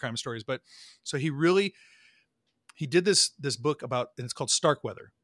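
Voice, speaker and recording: The recording is very clean, with a silent background and a dry, close sound with no echo, as a man speaks in a bright, sharp tone with ordinary pitch variation. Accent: American. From Nebraska, Omaha. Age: 40s. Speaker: podcast host and trumpet player. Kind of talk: casual chat.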